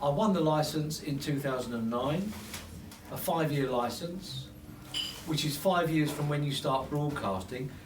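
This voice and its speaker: A man speaks at a moderate pace with a fairly high pitch and ordinary pitch variation. Noticeable background noise and audible room echo surround his voice. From London. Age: 60s. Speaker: radio presenter and mayor. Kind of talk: informal speech to a small audience. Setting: pub office party. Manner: halting, repetitive.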